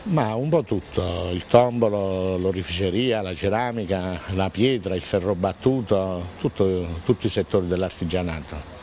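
A man with a very deep, low pitch at a fairly slow pace, hardly any pauses, dry sound with no echo, and light background noise. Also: ordinary pitch variation. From Abruzzo, central Italy. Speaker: crafts exhibitor. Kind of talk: interview. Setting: outdoors at event village. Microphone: handheld.

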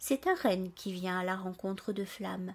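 At a fairly slow pace, this voice has a dark, mellow tone and a gentle, warm tone in a very clean recording with a silent background. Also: woman. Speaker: storyteller and author. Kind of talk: bedtime story telling, scripted narration read aloud to children. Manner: gentle, soft, warm storyteller voice, expressive and animated with character dialogue.

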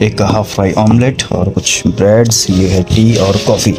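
Clear music sounds behind the speaker. He is a man. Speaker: travel vlogger. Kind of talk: casual vlog chat. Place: boat. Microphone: phone near.

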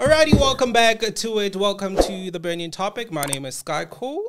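Faint music plays in the background. Over it, a man speaks with very wide pitch swings. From South Africa. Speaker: podcast host. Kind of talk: interview. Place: studio. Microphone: studio mic.

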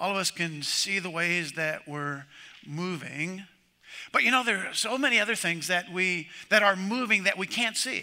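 A man projects a raised voice with a bright, sharp tone at a moderate pace. His pitch moves in an ordinary way against a quiet background. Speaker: pastor. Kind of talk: sermon. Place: church.

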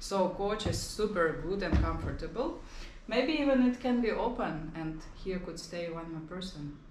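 A woman with a Ukrainian accent speaks at a moderate pace and medium pitch, with lively intonation and big swings in loudness, amid audible room echo and light background noise. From Ukraine. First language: Ukrainian or Russian. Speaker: travel vlogger. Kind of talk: home tour vlog. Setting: walking around an apartment. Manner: animated. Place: home room. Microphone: camera far.

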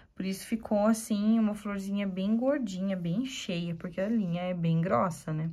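Over a silent background in a very clean recording, a woman speaks at a medium pitch in a dark, mellow, somewhat breathy tone with ordinary pitch variation. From Curitiba, Paraná, southern Brazil. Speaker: embroidery teacher. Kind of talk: tutorial. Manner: warm, chatty.

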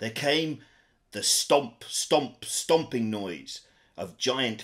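The speaker is reading aloud in a natural voice, intonation lively throughout.

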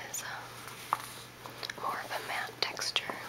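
Whispering and soft-spoken, the voice moves at a very slow pace over loud background noise. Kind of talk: casual unboxing commentary. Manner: soft ASMR whisper. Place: home room. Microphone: phone near.

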